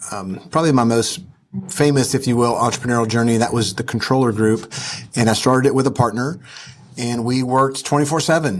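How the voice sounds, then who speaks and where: Talking at a fairly quick pace, a man with a Southern US accent has a medium pitch. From US South. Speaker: entrepreneur and investor. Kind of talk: interview. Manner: casual, with frequent fillers.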